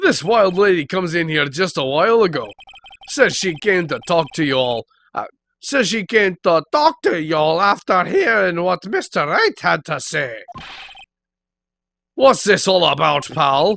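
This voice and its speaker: A man's put-on character voice in an Irish accent, gruff and high-pitched, with lively intonation, a moderate pace and long, frequent pauses. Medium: actual play. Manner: gruff, says "pal" often.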